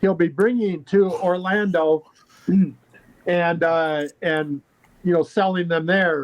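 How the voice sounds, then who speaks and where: The speech comes at a very slow pace with long, frequent pauses. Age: 60s. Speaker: card game guest, convention vendor. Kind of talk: casual chat. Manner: halting.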